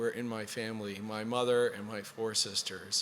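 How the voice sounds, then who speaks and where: Noticeable background noise sits behind a voice moving at a moderate pace with fairly even intonation. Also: man. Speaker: government office director. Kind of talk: formal speech. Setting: event with live and virtual audience.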